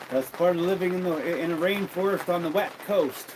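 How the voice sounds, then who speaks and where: Over crowd noise in the background, a speaker with a Western Canadian accent talks in a relaxed tone at a fairly slow pace. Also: man. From Alberta, Canada. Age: 60s. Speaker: livestreamer and tradesman. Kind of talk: casual livestream chat. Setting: home livestream by a wood fire. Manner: relaxed, repetitive.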